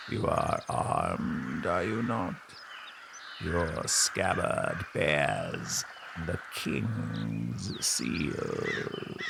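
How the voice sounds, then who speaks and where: A man uses a put-on character voice at a very slow pace. Background noise is clearly heard. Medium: audio drama.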